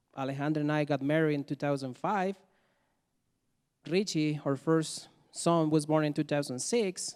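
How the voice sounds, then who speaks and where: With a Mexican accent, a man with a fairly high voice speaks at a moderate pace with fairly even intonation and long, frequent pauses, recorded very cleanly against a silent background. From Mexico. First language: Spanish. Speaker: immigrant storyteller. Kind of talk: live storytelling.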